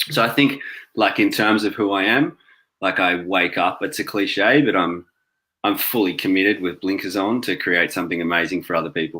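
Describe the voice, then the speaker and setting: Speaking at a fairly quick pace, a man with an Australian accent has a fairly low pitch, ordinary pitch variation and a bright, sharp tone. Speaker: cancer survivor and social worker. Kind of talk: interview.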